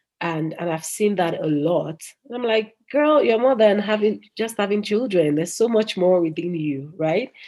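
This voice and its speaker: Her tone dark and mellow, a woman talks at a moderate pace and medium pitch with lively intonation. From United Kingdom, Nigerian parents. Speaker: entrepreneur, cosmetics company founder. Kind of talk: interview.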